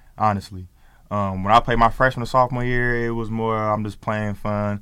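On a very clean recording with a silent background, a man with an American accent and a fairly low pitch uses an ordinary speaking voice with fairly even intonation. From Oakland, California. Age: 20s. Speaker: professional basketball player. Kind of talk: interview; casual chat. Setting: studio.

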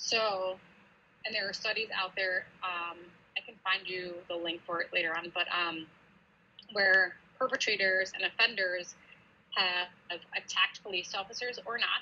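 This woman has an American accent and a medium pitch. Her intonation stays fairly even, broken by long, frequent pauses. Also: fairly slow pace. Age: 30s. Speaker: police officer. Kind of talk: interview.

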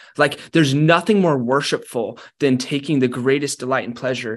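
With hardly any pauses, a man speaks at a moderate pace in a plain, everyday voice, fairly high in pitch with ordinary pitch variation, over a quiet background. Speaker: author. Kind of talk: casual interview chat.

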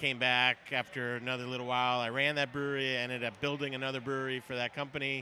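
At a very fast pace with hardly any pauses, a man talks in an American accent and a medium pitch. His tone is bright and sharp, his intonation monotone and flat. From New York. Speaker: brewmaster. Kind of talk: casual interview. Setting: live event at a brewery.

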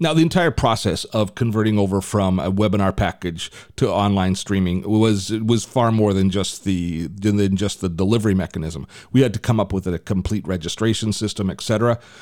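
A man's fairly low-pitched, plain, everyday voice with ordinary pitch variation, on a very clean recording with a silent background. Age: 60s. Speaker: podcast host and tech reviewer. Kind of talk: casual tech podcast chat.

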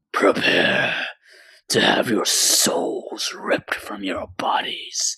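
In a put-on character voice, a man growls at a very slow pace, sounding raspy and reaching an extremely high pitch. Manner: snarling, menacing.

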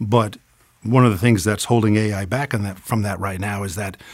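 Fairly quick and fairly low in pitch, a man speaks in a plain, everyday voice with ordinary pitch variation. The recording is very clean, with a silent background. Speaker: voiceover studio owner. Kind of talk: interview conversation.

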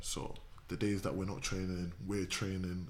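Vocal fry marks a man's very deep, low voice as he talks at a fairly quick pace with audible room echo. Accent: southern English. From southern England. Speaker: footballer. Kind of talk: casual chat.

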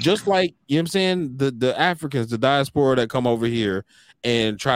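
An unremarkable speaking voice: a man with an American accent, lively intonation and a fairly quick pace. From United States. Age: 30s. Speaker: podcast host. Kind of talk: casual chat.

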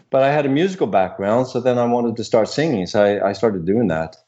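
At a fairly quick pace, an ordinary speaking voice moves with ordinary pitch variation. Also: man. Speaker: voice coach. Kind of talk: casual interview chat. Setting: phone call.

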